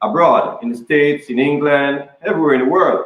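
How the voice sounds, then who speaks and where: A man speaks with a Jamaican accent. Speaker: chef. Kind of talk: live cooking demo interview. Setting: kitchen, live video broadcast. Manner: hesitant, many fillers and repeats.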